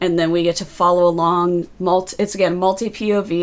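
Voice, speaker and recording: On a very clean recording with a silent background, a woman with an unremarkable speaking voice talks at a moderate pace, her pitch fairly low and her intonation fairly even. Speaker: book reviewer livestreamer. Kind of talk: casual livestream book review. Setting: livestream.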